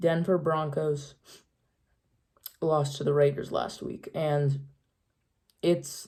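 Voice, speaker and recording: A woman with a very deep, low pitch and a dark, mellow, somewhat breathy tone speaks very slowly in a flat monotone, leaving long, frequent pauses. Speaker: sports YouTuber. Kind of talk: NFL picks commentary. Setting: at home, late night. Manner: quiet.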